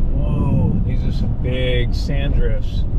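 Loud background noise fills the recording. Over it, a man speaks at a very slow pace. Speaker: travel vlogger. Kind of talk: casual vlog chat. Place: car. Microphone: phone near.

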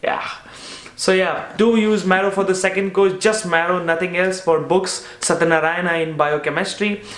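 With an Indian accent, a man speaks in an animated tone at a moderate pace and high pitch, keeping very even loudness amid audible room echo. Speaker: medical student and YouTuber. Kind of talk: casual chat. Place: home room.

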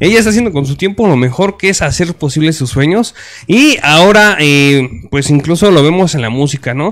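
Lively intonation marks this man's fairly high-pitched voice as he talks at a moderate pace. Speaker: online show host. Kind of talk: casual interview. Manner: rough, blunt delivery.

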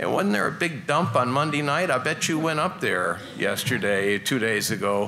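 A man with an American accent talks at a moderate pace with hardly any pauses and very wide pitch swings. Noticeable background noise can be heard. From Colorado. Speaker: moderator and reporter; moderator, reporter. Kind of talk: moderated panel discussion. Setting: stage with audience. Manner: animated. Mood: humorous storytelling. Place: hall. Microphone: podium.

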